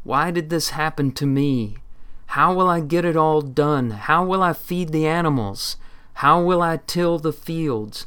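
A man's put-on character voice, fairly high in pitch, at a fairly slow pace. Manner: complaining, anguished.

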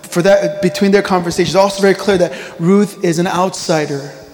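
A man speaks with a high pitch. There is noticeable background noise. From rural Korea, then Virginia (US). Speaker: pastor. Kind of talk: sermon. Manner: fillers and repetitions, conversational.

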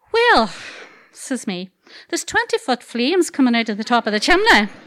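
Her Derry accent carries lively intonation as a woman speaks at a high pitch, in a dry, close sound with no echo. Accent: Northern Irish (Derry). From Northern Ireland, Dungiven, County Londonderry. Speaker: storyteller. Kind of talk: live storytelling. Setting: stage with audience.

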